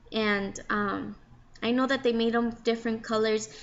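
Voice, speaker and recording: This woman talks at a moderate pace with a Mexican accent. Her pitch sits fairly high. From Mexico. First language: Spanish. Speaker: crochet hobbyist vlogger. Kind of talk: casual tutorial. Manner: casual, halting with fillers.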